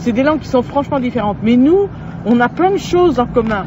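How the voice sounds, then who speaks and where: A woman talks with lively intonation at a high pitch and moderate pace, noticeable background noise around her. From France, Poitou. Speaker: storyteller and regional language advocate. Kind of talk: interview. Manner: halting, many hesitations.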